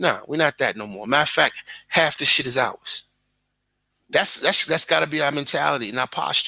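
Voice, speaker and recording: A man's bright, sharp tone at a fairly quick pace. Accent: Brooklyn. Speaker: content creator. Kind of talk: casual chat. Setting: live stream. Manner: animated.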